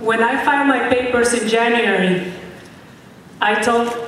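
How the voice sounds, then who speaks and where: A woman's fairly high voice with a Mexican accent, with audible room echo and noticeable background noise. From Mexico. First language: Spanish. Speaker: political candidate. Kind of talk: speech.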